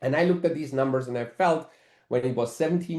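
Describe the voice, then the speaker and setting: Here a man speaks in a dark, mellow tone. The background is quiet. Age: 60s. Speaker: network marketing executive. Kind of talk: webinar presentation.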